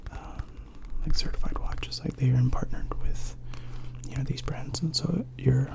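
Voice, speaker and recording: Clear background noise runs under speech delivered at a medium tempo. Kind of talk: casual ASMR talk describing a watch, rambling explanation. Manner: conversational, hesitant with fillers.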